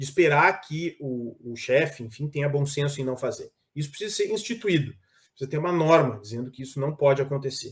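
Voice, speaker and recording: Somewhat breathy, a man speaks at a fairly quick pace with fairly high pitch and ordinary pitch variation. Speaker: labor prosecutor. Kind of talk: panel talk.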